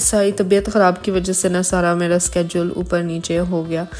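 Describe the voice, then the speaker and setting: Her tone dark and mellow, a woman talks fairly slowly. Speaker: lifestyle vlogger. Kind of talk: casual vlog narration.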